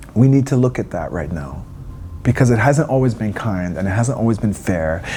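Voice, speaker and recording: Speaking at a fairly quick pace, a man uses lively intonation while noticeable background noise and audible room echo fill the clip. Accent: Canadian. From eastern Canada, Wabanaki territory. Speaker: singer. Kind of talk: interview. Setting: backstage at a music festival.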